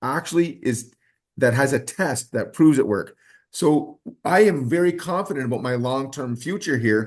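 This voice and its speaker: With an ordinary speaking voice, a man talks at medium pitch and a moderate pace. His intonation is lively, and the background stays quiet. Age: 60s. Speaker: network marketing distributor. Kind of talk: sales pitch. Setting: video call.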